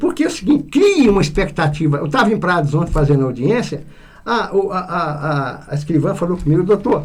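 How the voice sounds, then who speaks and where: Amid noticeable background noise and audible room echo, a man speaks at a fairly quick pace with very wide pitch swings. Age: 70s. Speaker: public prosecutor. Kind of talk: radio interview. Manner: halting, many repetitions.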